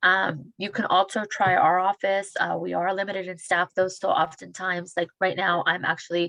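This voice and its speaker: With vocal fry and a bright, sharp tone, a woman talks at a medium pitch in a monotone, flat delivery. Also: hardly any pauses. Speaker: small business case manager. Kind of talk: webinar Q&A. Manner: fast.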